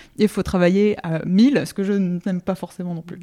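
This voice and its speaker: The recording has a dry, close sound with no echo, carrying a woman's medium-pitched voice with a dark, mellow tone. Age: 30s. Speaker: illustrator and comic book author. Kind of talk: interview. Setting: at her home.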